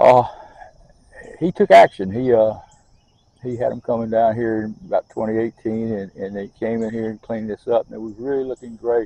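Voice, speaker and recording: A man with a Southern US accent speaks at a fairly quick pace in a medium pitch, his intonation fairly even and his loudness swinging widely, with long, frequent pauses. The sound is dry and close, with no echo. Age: 70s. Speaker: local park advocate. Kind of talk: casual monologue. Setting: outdoors. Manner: halting.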